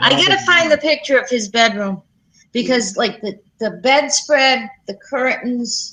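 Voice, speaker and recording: A high-pitched woman with a New England accent projects a raised voice at a fairly slow pace, her intonation lively. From Providence, Rhode Island. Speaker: live stream co-host. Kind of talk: casual chat.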